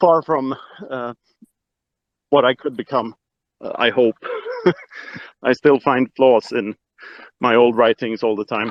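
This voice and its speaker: This man talks with a Swedish accent at a medium pitch and a fairly slow pace. His intonation stays fairly even, broken by long, frequent pauses. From Sweden. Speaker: Bitcoin author. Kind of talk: casual chat. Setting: online audio room. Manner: hesitant, many filler words.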